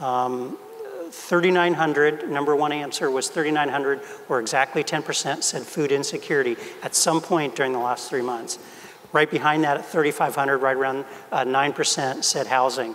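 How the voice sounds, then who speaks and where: A man speaks with fairly even intonation at a fairly slow pace. Light background noise is present. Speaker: health system executive; panelist. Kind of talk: panel discussion. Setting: stage with audience. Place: hall.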